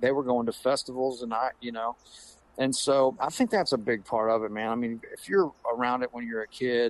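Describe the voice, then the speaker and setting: In a quiet background, a man speaks at a moderate pace and medium pitch with fairly even intonation. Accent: Southern US. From US South, Pensacola, Florida. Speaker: guitarist and educator. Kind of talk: casual interview chat. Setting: remote call.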